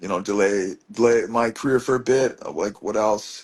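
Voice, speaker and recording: Ordinary pitch variation and a moderate pace mark this voice with a Maritime Canadian accent. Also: man. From Truro, Nova Scotia, Canada. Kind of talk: interview answer. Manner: casual, rambling.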